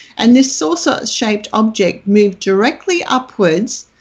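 A woman talks at a fairly slow pace with an Australian accent. Her voice is somewhat breathy, and her intonation is lively. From Australia, country Queensland. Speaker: UFO researcher. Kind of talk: interview. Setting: remote call.

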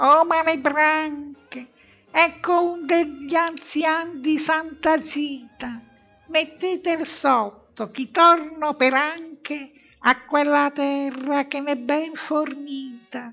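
The speaker puts on a high-pitched character voice. Delivery is very slow. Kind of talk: comic devilish taunting. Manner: mocking, rough, gleeful.

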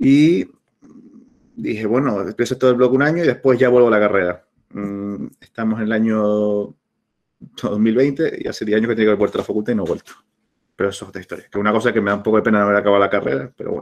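A man's medium-pitched voice at a very fast pace, with long, frequent pauses, ordinary pitch variation and a quiet background. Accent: Canarian. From Canary Islands, La Palma; Canary Islands. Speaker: travel blogger and entrepreneur; travel blogger. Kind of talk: talk; informal talk over slides. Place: home room. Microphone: webcam.

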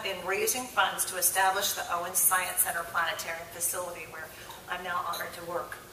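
With audible room echo and light background noise, a woman speaks at a fairly quick pace. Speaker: conference presenter. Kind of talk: formal introduction speech. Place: hall. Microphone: podium.

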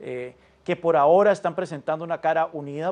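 At a very fast pace, a man with a fairly high voice talks with ordinary pitch variation. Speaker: political analyst. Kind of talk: news interview. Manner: halting. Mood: calm, analytical. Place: studio. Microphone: lapel.

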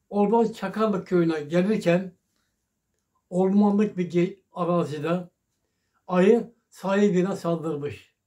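Against a quiet background, a man talks at a very slow pace with a high pitch, a dark, mellow tone and fairly even intonation. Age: 80s+. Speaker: elderly local resident. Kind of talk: telling old memories in an interview. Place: home room. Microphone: phone near.

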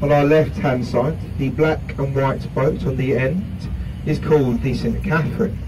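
Over noticeable background noise, the speaker talks at a fairly slow pace in a North London accent. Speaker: river cruise guide. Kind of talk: live tour commentary. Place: boat.

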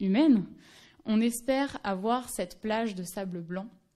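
Behind the voice, the background stays quiet. Its tone is dark and mellow, and its pitch varies in an ordinary way. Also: woman. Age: 20s. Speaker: anthropology doctoral student; speaker. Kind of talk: conference talk. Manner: halting, many fillers. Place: hall. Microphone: podium.

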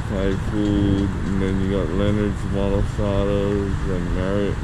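A man at a very slow pace, over loud background noise. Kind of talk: casual vlog chat. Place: street. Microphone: phone near.

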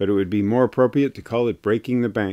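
The background is quiet. A man speaks with a dark, mellow tone. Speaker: commentator. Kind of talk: commentary. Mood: critical, mildly indignant. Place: studio.

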